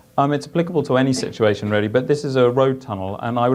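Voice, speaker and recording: The speaker has a strong British accent and talks at a very fast pace. Pitch variation is ordinary. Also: man. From UK. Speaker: engineer; conference presenter. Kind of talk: conference presentation. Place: meeting room.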